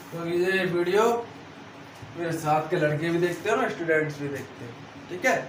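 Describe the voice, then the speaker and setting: A man with a high-pitched voice and ordinary pitch variation talks with long, frequent pauses and big swings in loudness, amid noticeable background noise and audible room echo. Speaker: online exam-prep teacher. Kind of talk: lecture. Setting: video class at a whiteboard. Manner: animated, call-and-response questioning.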